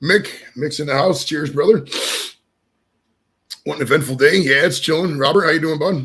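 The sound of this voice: A man's fairly high, fairly bright voice with a slightly husky edge, a moderate pace and ordinary pitch variation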